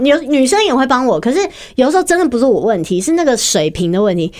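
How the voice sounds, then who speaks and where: With very wide pitch swings and a high pitch, a woman talks at a fairly quick pace amid noticeable background noise. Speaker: podcast co-host. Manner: giggly, laughs often.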